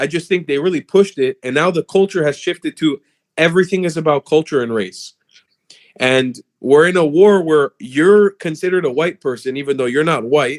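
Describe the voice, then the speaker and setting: With a South Florida accent, a man talks at a moderate pace in a fairly high pitch, his tone animated and his pitch variation ordinary, the sound dry and close with no echo. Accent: American English, South Florida. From South Florida, US. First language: Hebrew. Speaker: political commentator. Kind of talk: casual debate on livestream.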